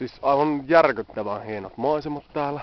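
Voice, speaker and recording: Speaking very slowly with ordinary pitch variation, a man is heard over noticeable background noise. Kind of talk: casual travel video talk to camera. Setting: outdoors. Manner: stammering.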